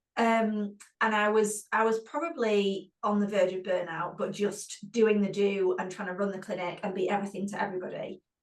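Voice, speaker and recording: A woman with a British accent talks at a moderate pace. Her pitch is medium, and her intonation is fairly even. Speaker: physiotherapist and clinic owner. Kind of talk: webinar panel discussion.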